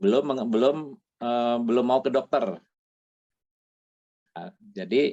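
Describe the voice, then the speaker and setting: A man of medium pitch and a dark, mellow tone speaks at a fairly slow pace, leaving long, frequent pauses. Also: lively intonation. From Bandung, West Java, Indonesia. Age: 60s. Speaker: retired patient giving testimony. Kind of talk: testimony interview. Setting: video call.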